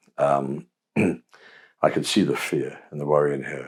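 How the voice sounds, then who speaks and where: Moderate pace, with a southern English accent. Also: man. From England. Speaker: Episcopal priest. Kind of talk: interview answer.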